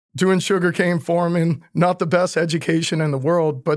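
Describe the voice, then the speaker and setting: In a very clean recording with a silent background, a man with a Louisiana accent speaks at a moderate pace and a fairly high pitch. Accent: Louisiana Southern accent, noticeable. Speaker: Marine Corps veteran. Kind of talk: interview.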